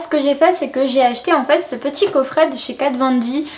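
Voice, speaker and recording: Fairly quick, animated delivery over noticeable background noise. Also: woman. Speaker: beauty youtuber. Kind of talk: product haul video. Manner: speaks strangely, slurred.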